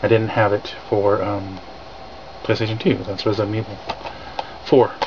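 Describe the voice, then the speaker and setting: A man speaks with an American accent at a fairly low pitch. His intonation is monotone and flat, with noticeable background noise behind him. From California. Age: 30s. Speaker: retro gaming vlogger. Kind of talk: casual vlog. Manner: fast; halting, many fillers.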